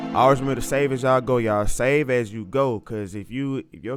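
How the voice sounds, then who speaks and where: A man with a strong Southern US accent, medium in pitch, fairly quick in pace, with ordinary pitch variation. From US South, Alabama (Montgomery). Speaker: music producer. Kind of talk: tutorial. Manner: casual, animated.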